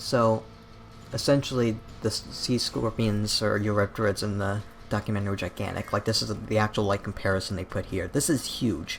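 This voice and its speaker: Music plays in the background as the speaker keeps a moderate pace and fairly even intonation. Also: man. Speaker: YouTube documentary critic. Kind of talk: casual commentary video. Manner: stutters; casual, filler-heavy.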